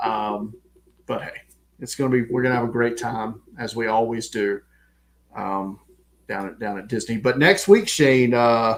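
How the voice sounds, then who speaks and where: A man's medium-pitched voice in a strong Southern American accent, at a moderate pace with ordinary pitch variation, big swings in loudness, and long, frequent pauses. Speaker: podcast co-host. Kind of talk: casual chat.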